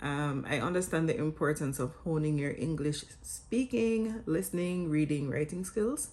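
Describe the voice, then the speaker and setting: Speaking at a moderate pace in a Jamaican accent, a woman uses a very deep, low voice. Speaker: vlogger and English teacher. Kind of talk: scripted vlog talk.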